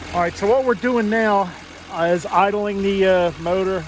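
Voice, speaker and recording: A man talks in a Philadelphia accent at a fairly slow pace. Noticeable background noise can be heard. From US Northeast, Philadelphia. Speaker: DIY auto mechanic video host. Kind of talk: tutorial. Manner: casual, halting with fillers.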